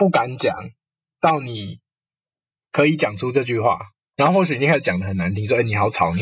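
A somewhat breathy man at a medium pitch, fairly quick, with very wide pitch swings and a quiet background. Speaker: counseling psychologist. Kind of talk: casual interview chat.

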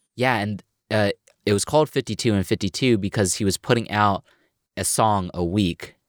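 Recorded very cleanly against a silent background, with dry, close sound and no echo, a man speaks at a moderate pace in a fairly low pitch. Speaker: podcast host. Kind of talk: interview.

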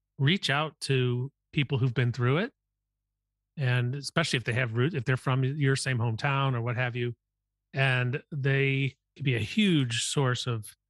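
Over a quiet background, a man with an American accent speaks at a fairly slow pace in a medium, somewhat breathy voice with fairly even intonation and a dry, close sound with no echo. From US Midwest. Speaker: podcast host and venture capitalist. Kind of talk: interview conversation.

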